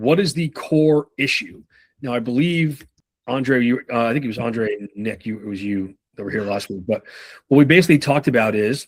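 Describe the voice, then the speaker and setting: On a very clean recording with a silent background, a man speaks at medium pitch with ordinary pitch variation. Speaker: sales trainer. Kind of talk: live training session. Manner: fast.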